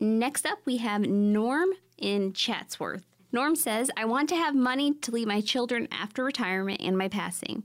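With a normal speaking voice, a woman at a fairly high pitch uses lively intonation at a moderate pace, her loudness very even on a very clean recording with a silent background. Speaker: radio host. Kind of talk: radio infomercial pitch, urgent call to action. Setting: studio.

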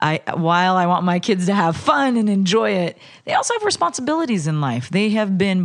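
In an American accent, a woman with an unremarkable speaking voice talks at a fairly quick pace and medium pitch, with lively intonation and a quiet background. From California Central Valley. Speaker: politician. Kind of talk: interview. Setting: at home.

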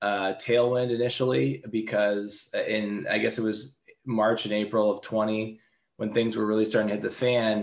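A plain, everyday voice with an American accent speaks at a fairly slow pace with ordinary pitch variation. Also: man. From Seattle. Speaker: tech company founder and CEO. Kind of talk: interview.

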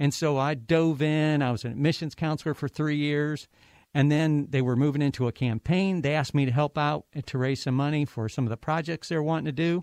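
A normal speaking voice with an American accent moves at a fairly quick pace with fairly even intonation. The recording is very clean, dry and close, with a silent background and no echo. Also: man, fairly high pitch for a man. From Ohio. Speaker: university president. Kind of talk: interview.

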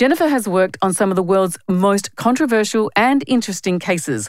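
Speaking at a fairly quick pace, a woman with an Australian accent uses a medium pitch. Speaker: podcast host, journalist and founder.

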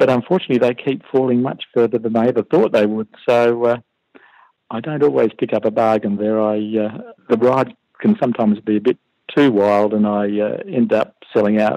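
A man with an Australian accent speaks at a fairly quick pace and medium pitch, with ordinary pitch variation. His tone is dark and mellow, and the sound is dry and close with no echo. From Western Australia (Perth). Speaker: retired computer programmer, private investor. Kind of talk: interview. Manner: hesitant, many fillers.

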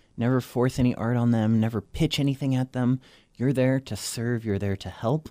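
In a normal speaking voice, a man with an American accent talks at medium pitch and a moderate pace with fairly even intonation. The recording is very clean with a silent background and a dry, close sound with no echo. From Florida, then southern France and English boarding school. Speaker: artist and art marketing coach. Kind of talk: interview.

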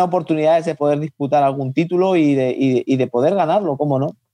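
Speaking very fast, a man has a dark, mellow tone and ordinary pitch variation. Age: 30s. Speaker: professional boxer. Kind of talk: interview.

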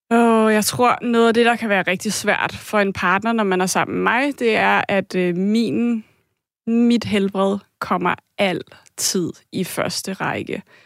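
Speaking at a very slow pace, a woman with a medium pitch keeps her intonation fairly even on a very clean recording with a silent background. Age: 30s. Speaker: caller. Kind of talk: testimony.

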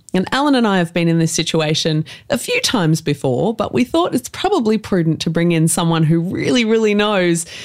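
This woman has a normal speaking voice with a fairly low pitch. She talks at a moderate pace. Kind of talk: casual chat.

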